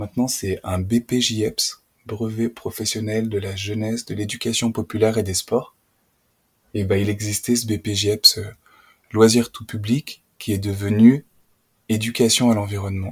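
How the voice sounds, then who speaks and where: Fairly slow, somewhat breathy speech from a man at a fairly low pitch, monotone and flat, with long, frequent pauses and a dry, close sound with no echo. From France, Auvergne (Puy-de-Dôme). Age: 30s. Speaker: nature educator. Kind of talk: casual interview conversation. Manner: hesitant, many fillers.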